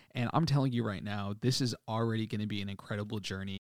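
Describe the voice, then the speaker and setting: An animated man with an American accent and a fairly low pitch, on a very clean recording with a silent background. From US Midwest, Chicago south suburbs. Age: 20s. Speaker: podcast host. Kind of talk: solo podcast monologue.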